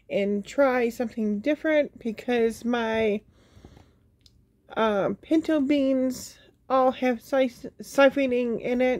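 Over a quiet background, a woman speaks at a very slow pace with ordinary pitch variation. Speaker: home canning vlogger. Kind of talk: casual vlog chat. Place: home room. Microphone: phone near.

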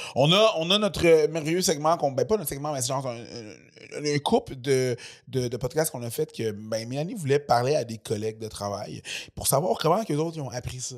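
Speaking with a Quebec accent, a man uses lively intonation, a fairly high pitch and a moderate pace, with big swings in loudness over a quiet background. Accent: Québécois French. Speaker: podcast host; comedian. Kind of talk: casual chat; read-out ad. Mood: relaxed, joking. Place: studio. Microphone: studio mic.

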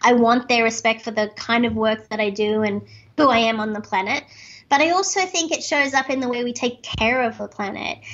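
A woman speaks with an Australian accent at a fairly quick pace. Her pitch is fairly high with ordinary variation, and the background is quiet. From Australia, Sydney. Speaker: speaker and author; podcast guest. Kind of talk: interview. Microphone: webcam.

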